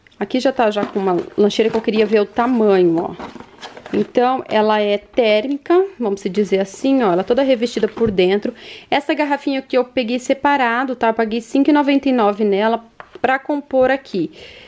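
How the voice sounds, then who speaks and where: A woman at a fairly high pitch, moderate in pace, with ordinary pitch variation and very even loudness. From Curitiba, Paraná, southern Brazil; Paraná, Brazil. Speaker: mom vlogger. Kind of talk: vlog show-and-tell. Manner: chatty, animated. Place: home room. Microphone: phone near.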